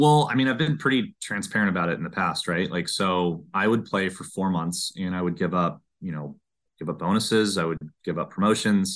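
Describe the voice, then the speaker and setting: Over a quiet background, a man with a very deep, low pitch talks at a fairly quick pace with lively intonation. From Southern California, Orange County. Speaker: amateur golfer. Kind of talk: casual interview.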